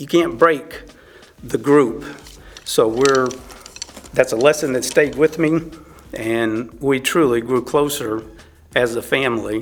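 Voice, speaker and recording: A man with a Texan accent at a fairly slow pace, medium pitch and ordinary pitch variation, with long, frequent pauses and noticeable background noise. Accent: Texan (US Southern). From Texas. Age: 60s. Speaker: churchgoer sharing faith story. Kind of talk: testimony. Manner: halting.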